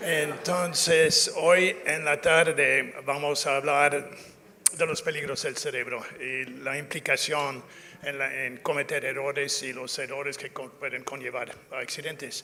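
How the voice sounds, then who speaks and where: Speaking fairly slowly with an English accent, a man uses a fairly high pitch and fairly even intonation. Background noise is noticeable. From North America (US). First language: English (speaking Spanish). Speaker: safety culture consultant. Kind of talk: lecture. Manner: halting, many fillers and self-corrections.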